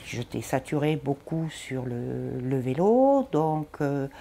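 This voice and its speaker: A woman talks very slowly in a very deep, low voice. Noticeable background noise sits under her speech. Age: 60s. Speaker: patient with lung disease. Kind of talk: testimony.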